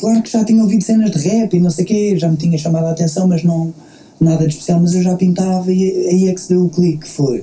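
A man rushes along at a very fast pace with fairly even intonation. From Portugal, Queluz (Lisbon area). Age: 30s. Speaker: rapper. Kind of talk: casual interview. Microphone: lower sound quality due to technical problems.

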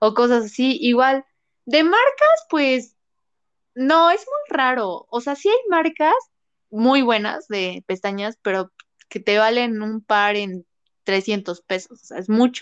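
In a central Mexican accent, a woman with a high-pitched voice talks at a very slow pace with lively intonation, in a dry, close sound with no echo. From Mexico, Puebla. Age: 20s. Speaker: makeup artist. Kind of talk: casual interview.

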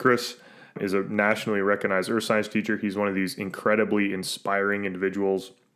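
Speaking at a fairly quick pace, a man has a fairly low pitch. The recording is very clean and the background silent. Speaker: podcaster and professor. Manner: blurs words when excited.

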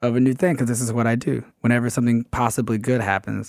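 Speaking at a fairly quick pace and a medium pitch, a man with an American accent has a plain, everyday voice. The recording is very clean with a silent background and a dry, close sound with no echo. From Atlanta, US South. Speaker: sports writer. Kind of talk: casual chat. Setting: live show, art studio.

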